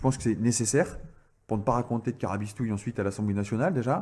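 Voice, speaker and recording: A man with a Picard accent talks with ordinary pitch variation. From northern France, Picardy. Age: 30s. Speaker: politician. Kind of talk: interview. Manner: hesitant, many filler sounds.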